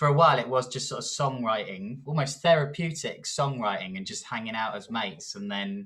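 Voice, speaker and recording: With a southern English accent, a medium-pitched man talks at a fairly quick pace with lively intonation, big swings in loudness and hardly any pauses. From southern England. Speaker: rock band guitarist. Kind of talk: interview. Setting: video call.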